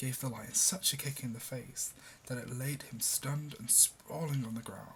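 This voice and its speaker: The voice is somewhat breathy, with a gentle tone. It moves at a fairly slow pace with ordinary pitch variation. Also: man. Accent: British. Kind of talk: fable reading. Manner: soft, gentle, relaxing.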